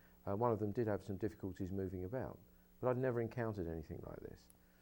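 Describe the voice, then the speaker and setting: A man speaks with a dark, mellow tone. His pitch varies an ordinary amount. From United Kingdom. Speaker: hypnosis practitioner. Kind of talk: informal educational talk to camera.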